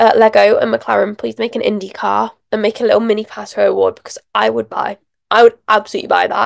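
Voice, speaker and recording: A woman talks at a fairly quick pace with a British accent. The sound is dry and close, with no echo. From England. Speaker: motorsport podcaster. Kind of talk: casual solo podcast review. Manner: animated.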